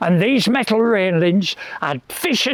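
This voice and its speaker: A high-pitched man with a Lancashire accent and lively intonation at a fairly slow pace, over noticeable background noise. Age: 80s+. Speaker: local historian and tour guide. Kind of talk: outdoor walking tour storytelling. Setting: outdoors.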